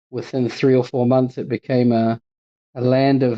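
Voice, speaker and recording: A man at medium pitch and a moderate pace. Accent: New Zealand. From New Zealand. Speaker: charity executive. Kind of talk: interview.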